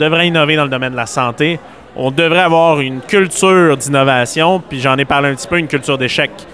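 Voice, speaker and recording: Against noticeable background noise, a man with a fairly high voice speaks at a fairly quick pace, his pitch varying in an ordinary way. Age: 20s. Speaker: entrepreneur and conference speaker. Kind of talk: radio interview.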